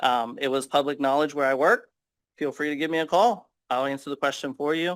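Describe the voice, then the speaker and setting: The recording is very clean, with a silent background. A man with a fairly high pitch speaks at a fairly quick pace, with ordinary pitch variation. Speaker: school board candidate. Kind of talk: interview. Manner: fast.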